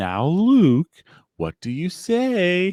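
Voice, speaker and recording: In a put-on character voice, a man speaks at a high pitch with very wide swings in pitch. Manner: patronizing, sarcastic, condescending.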